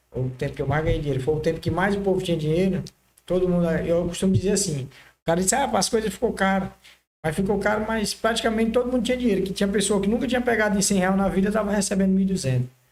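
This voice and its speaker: Very fast speech with ordinary pitch variation. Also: man, high pitch for a man. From Maranhão, northeastern Brazil. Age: 30s. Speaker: car body painter, entrepreneur. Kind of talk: podcast interview.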